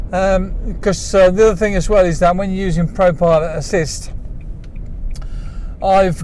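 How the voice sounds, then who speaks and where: Someone with an English accent speaks at a fairly slow pace with fairly even intonation, with audible room echo and noticeable background noise. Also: man. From England. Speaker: vlogger. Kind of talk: casual monologue while driving. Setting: in a car. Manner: hesitant, many fillers.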